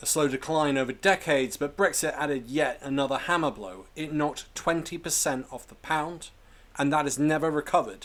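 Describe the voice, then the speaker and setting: A man with a British accent talks at a fairly quick pace in a fairly high pitch, with ordinary pitch variation. His loudness swings widely in a very clean recording with a silent background. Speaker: political commentary youtuber. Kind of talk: political commentary narration.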